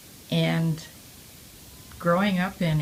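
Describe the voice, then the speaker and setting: A woman with an American accent speaks at a fairly low pitch in a monotone, flat way. Noticeable background noise runs underneath. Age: 80s+. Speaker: war-era eyewitness. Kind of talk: oral history interview. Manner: halting, with frequent fillers.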